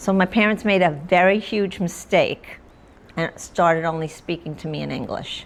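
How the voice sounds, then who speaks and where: Her pitch fairly low and her pitch variation ordinary, a woman with a New York accent speaks at a moderate pace. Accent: New York American. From Long Island, New York. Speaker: author. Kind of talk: interview. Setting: stage with audience.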